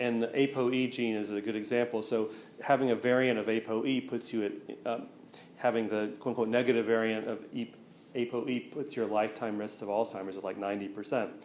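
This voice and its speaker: Over audible room echo, a man at medium pitch talks very fast in a flat monotone. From US South, east Tennessee. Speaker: researcher giving public talk. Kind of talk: lecture Q&A. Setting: museum talk with live audience.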